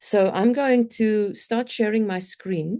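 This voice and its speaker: A dark, mellow tone from a woman in a South African accent, with ordinary pitch variation. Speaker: complexity consultant and speaker. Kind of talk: conference talk. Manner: hesitant, many fillers.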